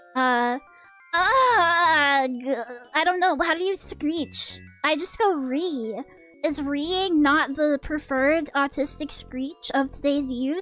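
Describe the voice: A put-on character voice, shrill and high-pitched, at a very slow pace, with faint music in the background.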